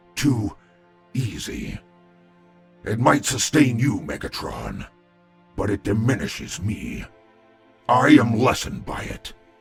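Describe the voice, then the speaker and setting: In a put-on character voice, the speaker goes fairly slowly with long, frequent pauses over faint background music. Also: man, medium pitch for a man. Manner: solemn, measured.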